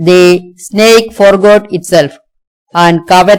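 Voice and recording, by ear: Natural-voiced reading aloud with fairly even intonation over a quiet background.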